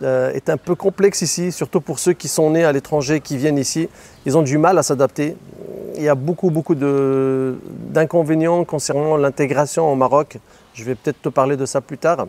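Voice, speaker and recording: This man has a normal speaking voice, fairly high in pitch, delivered at a moderate pace with fairly even intonation. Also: dry, close sound with no echo. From Morocco, Tangier. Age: 30s. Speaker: real estate agent and online seller. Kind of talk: interview.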